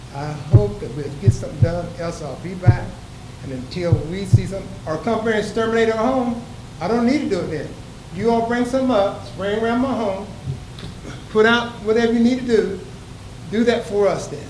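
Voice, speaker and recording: A man with a high pitch and lively intonation speaks at a fairly quick pace, with big swings in loudness and long, frequent pauses. The recording has audible room echo and noticeable background noise. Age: 70s. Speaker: resident speaking at public participation. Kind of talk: public comment at council meeting.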